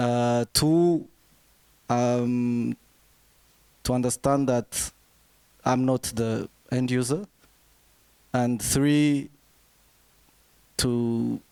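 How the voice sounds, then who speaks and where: With a non-native accent, a man speaks at a very slow pace and medium pitch in a dark, mellow tone, his intonation fairly even, his loudness very even and his pauses long and frequent, in a dry, close sound with no echo. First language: not English. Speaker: brand designer, panelist. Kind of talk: panel discussion.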